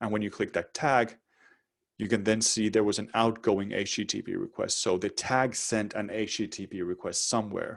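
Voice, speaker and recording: This man's voice sits fairly low in pitch. His intonation is monotone and flat. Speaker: webinar presenter. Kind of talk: live webinar tutorial. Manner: fast.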